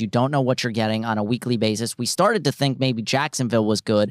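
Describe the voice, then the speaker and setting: Dry and close with no echo in a very clean recording and silent background, a man with a normal speaking voice speaks at medium pitch with ordinary pitch variation. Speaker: podcast host. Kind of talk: radio DJ-style patter, casual sports-betting banter.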